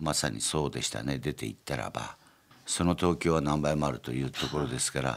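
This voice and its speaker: With vocal fry, a man talks in a very deep, low pitch. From Gunma, Japan. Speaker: company chairman. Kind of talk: interview. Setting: studio.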